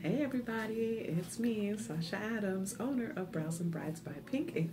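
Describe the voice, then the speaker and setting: A woman's voice against noticeable background noise. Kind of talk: casual vlog tutorial. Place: home room. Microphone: phone near.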